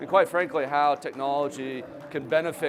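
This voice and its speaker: A man speaks over noticeable background noise. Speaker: company founder and trade show speaker. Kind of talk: presentation. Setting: trade show stage with audience. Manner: conversational.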